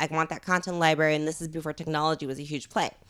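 Very fast speech from a woman with a Californian accent, on a very clean recording with a silent background. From Los Angeles, San Fernando Valley. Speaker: startup founder. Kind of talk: casual interview. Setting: at her home.

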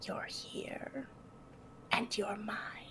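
A whispering, put-on character voice that sounds female, amid loud background noise. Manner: menacing.

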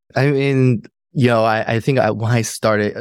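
A man with a normal speaking voice uses fairly even intonation. The recording is very clean, with a silent background. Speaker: podcast co-host. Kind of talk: casual interview conversation.

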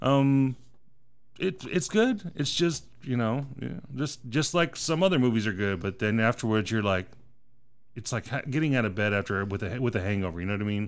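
The recording is very clean, with a silent background, and a man speaks in a plain, everyday voice at a medium pitch. His intonation is lively, and his pace is moderate. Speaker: movie podcast host. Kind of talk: casual chat. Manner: casual, swears often.

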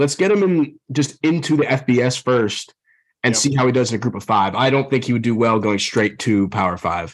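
A man with a plain, everyday voice talks at a moderate pace in a medium pitch, with lively intonation. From Texas, Dallas. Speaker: sports betting podcast host. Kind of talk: casual chat.

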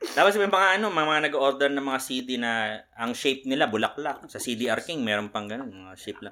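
A man speaks with lively intonation and a bright, sharp tone. He barely pauses, and his loudness swings widely. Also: medium pitch for a man, moderate pace. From Philippines, Manila (Sampaloc). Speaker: podcast guest. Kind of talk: casual chat. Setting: shared room, two mics for four people.

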